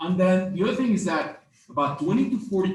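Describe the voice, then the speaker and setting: A non-native accent at a fairly quick pace with lively intonation. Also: man. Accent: noticeable foreign. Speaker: marketing instructor. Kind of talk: lecture. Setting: stage with audience. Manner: hesitant, many fillers.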